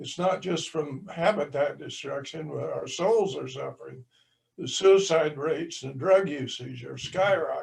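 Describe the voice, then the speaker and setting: Speaking in an American accent, a man talks at a fairly slow pace, his loudness swinging widely. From southwestern Kansas. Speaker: audience member. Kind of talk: audience question. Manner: halting.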